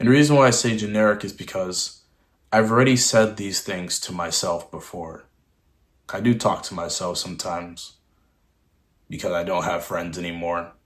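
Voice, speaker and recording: In a very clean recording with a silent background, a man speaks at a fairly low pitch and a moderate pace with ordinary pitch variation. His loudness swings widely, and he takes long, frequent pauses. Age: 20s. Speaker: vlogger. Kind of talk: personal vlog monologue. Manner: halting.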